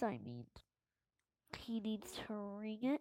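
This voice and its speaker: A woman's fairly high voice in a dry, close sound with no echo. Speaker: gaming youtuber. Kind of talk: gameplay commentary. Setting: at home. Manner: trying to speak louder; halting, many fillers.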